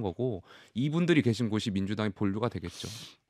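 Against a quiet background, a man with a fairly low pitch talks at a very fast pace with lively intonation in a dry sound with no echo. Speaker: ruling party politician. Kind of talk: political debate. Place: studio. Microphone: studio mic.

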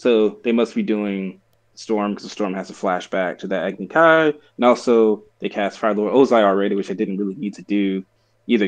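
Against a quiet background, a man speaks with an unremarkable speaking voice. His pitch is fairly low, and his loudness swings widely. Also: ordinary pitch variation, moderate pace. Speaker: podcast co-host. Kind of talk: casual podcast discussion. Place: home room. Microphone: video call.

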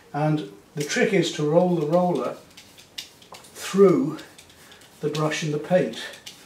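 Audible room echo surrounds a man talking at a slow pace in a fairly high pitch, his tone slightly mellow and his pitch variation ordinary.

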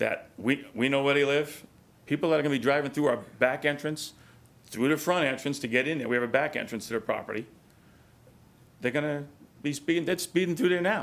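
With a New York accent, a man talks at a fairly quick pace and a fairly high pitch, showing ordinary pitch variation and taking long, frequent pauses. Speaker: resident speaking at public hearing. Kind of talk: public comment at council meeting.

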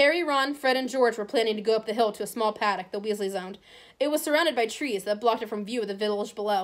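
Pitch shifts in an ordinary way here. The reading voice is natural.

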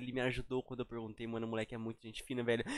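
The sound is dry with no echo, though loud background noise is present. A man is speaking. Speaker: YouTube reactor. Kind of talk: casual chat. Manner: animated. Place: home room. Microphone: headset.

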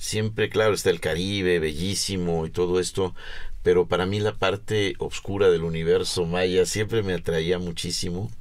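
Against a quiet background, a man talks at a moderate pace with a very deep, low pitch and fairly even intonation. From Mexico. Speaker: underwater archaeologist; guest. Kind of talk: interview. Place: studio.

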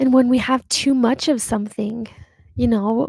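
With a dark, mellow tone and a somewhat breathy quality, a woman speaks at a moderate pace in dry, echo-free sound over a quiet background. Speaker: podcast host. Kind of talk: reflective podcast monologue. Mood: warm, reflective, light laughs. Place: home room. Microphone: studio mic.

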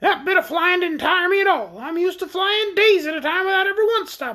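A put-on character voice, extremely high and shrill, moves at a fairly quick pace. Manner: scornful.

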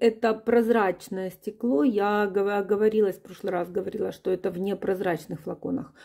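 A woman with an unremarkable speaking voice, medium in pitch, with fairly even intonation, a moderate pace and a quiet background. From Ukraine. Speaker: perfume reviewer. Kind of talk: product review, video blog. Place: home room.

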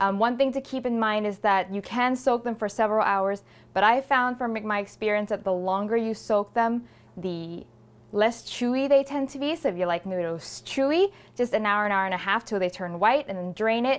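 Ordinary pitch variation and a moderate pace from a woman. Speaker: cooking show host. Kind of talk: tutorial. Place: kitchen.

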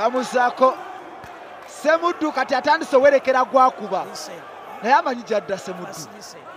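Over noticeable background noise, a man with a Ugandan accent talks at an extremely high pitch and fairly quick pace, with lively intonation, big swings in loudness, and long, frequent pauses. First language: Luganda. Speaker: boxing commentator. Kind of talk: live ringside boxing commentary, rapid blow-by-blow code-switching Luganda and English. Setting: ringside at a live boxing event. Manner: excitable, punctuating punches with shouted hey exclamations; fast, clipped bursts calling each punch as it lands.

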